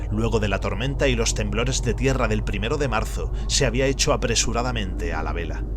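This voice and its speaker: A man with an Andalusian accent speaks at a fairly quick pace with hardly any pauses, his pitch very deep and low. His intonation is monotone and flat, and there is noticeable background noise. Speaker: audiobook narrator. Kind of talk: reading aloud of a horror story.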